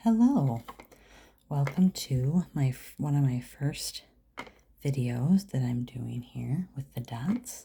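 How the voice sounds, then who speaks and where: A soft-spoken woman with a very deep, low pitch and a dark, mellow tone talks at a very slow pace, somewhat breathy, with lively intonation and long, frequent pauses. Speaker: dot art painter. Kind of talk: ASMR painting tutorial talk. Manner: quiet, soft-spoken.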